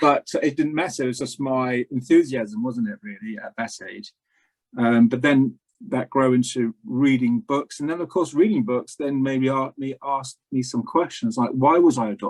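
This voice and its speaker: A man with an English accent at medium pitch, moderate pace and ordinary pitch variation, the sound dry and close with no echo. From England. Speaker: spiritual practitioner. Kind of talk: interview conversation. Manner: hesitant, many fillers.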